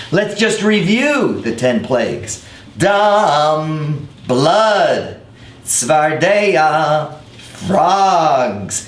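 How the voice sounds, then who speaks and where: Over noticeable background noise, a man with a fairly high pitch talks at a very slow pace in an upbeat tone, his intonation lively and his loudness very even. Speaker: rabbi. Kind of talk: educational web series talk to camera.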